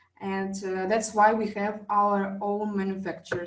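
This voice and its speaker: A woman with a non-native accent talks at a fairly slow pace in a monotone, flat intonation. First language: not English. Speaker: wellness device trainer. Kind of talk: online class presentation. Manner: halting, many fillers.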